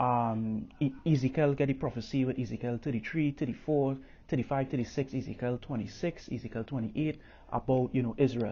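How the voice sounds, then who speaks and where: A man with a Caribbean accent and fairly even intonation. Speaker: religious teacher. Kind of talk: bible teaching. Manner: halting, many fillers.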